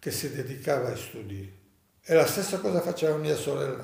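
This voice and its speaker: Audible room echo surrounds a man whose voice is fairly high-pitched and somewhat breathy. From Rhodes, Greece (Dodecanese). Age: 90s. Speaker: Holocaust survivor. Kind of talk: testimony.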